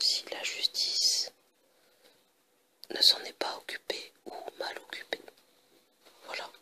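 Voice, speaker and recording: Very slow whispering with long, frequent pauses comes through noticeable background noise. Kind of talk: ASMR review of a TV series box set. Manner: whispered.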